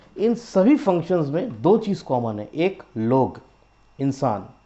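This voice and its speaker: A man speaks. His pitch swings very widely. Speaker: business owner presenting product. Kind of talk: product pitch video. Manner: hesitant, frequent fillers.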